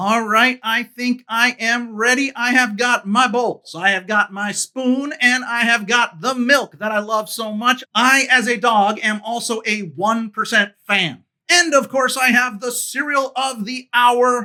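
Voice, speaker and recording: In a put-on character voice, the speaker uses an upbeat tone and a fairly high pitch at a fairly slow pace. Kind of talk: food review to camera.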